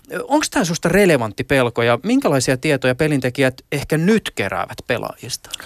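A man with an ordinary speaking voice talks at a fairly quick pace and fairly high pitch with lively intonation, very even loudness and hardly any pauses, in dry, close sound with no echo. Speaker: radio host. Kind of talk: interview; scripted narration.

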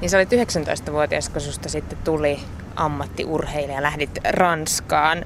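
Amid noticeable background noise, a woman with a very deep, low voice speaks very slowly with lively intonation. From Finland, Kokkola. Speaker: podcast interviewer. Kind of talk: interview.

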